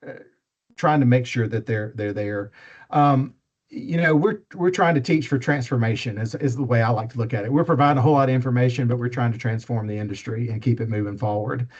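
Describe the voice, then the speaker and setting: A somewhat breathy man with an Alabama accent, very fast pace and ordinary pitch variation against a quiet background. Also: medium pitch for a man. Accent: Southern US (Alabama). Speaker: faculty member / instructor. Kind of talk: training talk. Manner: casual, with many fillers.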